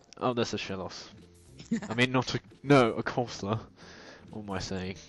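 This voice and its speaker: Music plays in the background as a man with a British accent speaks at a medium pitch and a moderate pace. His loudness swings widely, while his pitch variation stays ordinary. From Britain. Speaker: let's play gamer. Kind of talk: casual gameplay commentary.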